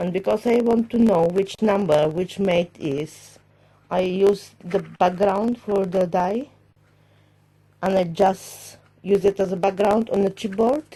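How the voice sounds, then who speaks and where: Somewhat breathy and dark, mellow in tone, a woman with a non-native accent speaks at a very slow pace, leaving long, frequent pauses. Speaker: crafter. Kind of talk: casual talk to camera.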